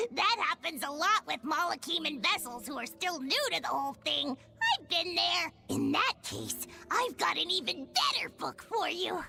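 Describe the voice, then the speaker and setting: A put-on character voice rises to an extremely high pitch at a moderate pace. Background noise is clearly audible. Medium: game stream. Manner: chummy, teasing, know-it-all.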